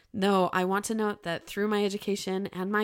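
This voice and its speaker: A woman at a fairly quick pace, on a very clean recording with a silent background. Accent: American. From Utah, Bountiful. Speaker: podcast co-host, social worker. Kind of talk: scripted narration.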